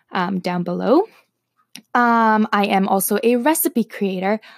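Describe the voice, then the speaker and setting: A woman sounds nervous and excited on a very clean recording with a silent background. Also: dry, close sound with no echo. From Toronto, Canada. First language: Slovak. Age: 20s. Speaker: podcaster and wellness blogger. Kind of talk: casual chat, first podcast episode monologue. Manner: nervous, excited, chatty, many filler words.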